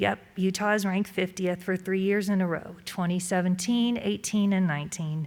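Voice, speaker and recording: A woman with a medium pitch sounds shaky while her loudness stays very even. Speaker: award recipient, business executive. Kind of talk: acceptance speech. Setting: event room with live and virtual audience. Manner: shaky voice.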